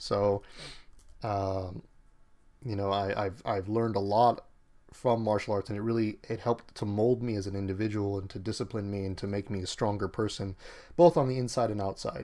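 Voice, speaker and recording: On a very clean recording with a silent background, a man with a plain, everyday voice speaks at a moderate pace, his fairly low pitch following fairly even intonation. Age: 30s. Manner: casual, many fillers.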